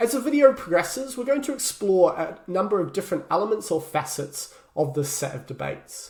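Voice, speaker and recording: A man with a New Zealand accent talks at a fairly quick pace, his voice somewhat breathy and his intonation lively. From New Zealand, Christchurch. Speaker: human geography lecturer. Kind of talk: lecture. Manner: hesitant, frequent filler words.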